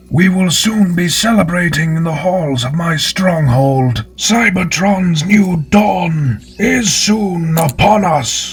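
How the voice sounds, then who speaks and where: A man puts on a character voice pitched high. He goes at a very slow pace with hardly any pauses. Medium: voice reel. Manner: grandiose, measured.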